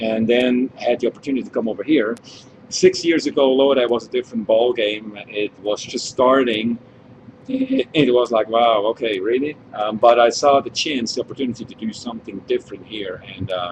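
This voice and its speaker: A man at medium pitch in a Swiss accent, with ordinary pitch variation at a moderate pace, over noticeable background noise. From Switzerland. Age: 40s. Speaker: winemaker. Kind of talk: wine tasting chat.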